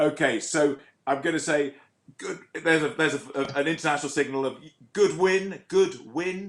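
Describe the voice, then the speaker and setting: This man has an ordinary speaking voice set at a fairly high pitch. He keeps a moderate pace with ordinary pitch variation. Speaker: awards show host. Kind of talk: awards ceremony hosting. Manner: jokey, lively.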